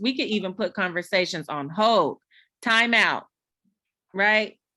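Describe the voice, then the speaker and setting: Loud and bright with a sharp tone, a woman speaks at a fairly slow pace and fairly high pitch. Her pitch varies in an ordinary way on a very clean recording with a silent background. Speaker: mother speaking on a community discussion panel. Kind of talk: community panel discussion. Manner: casual, conversational.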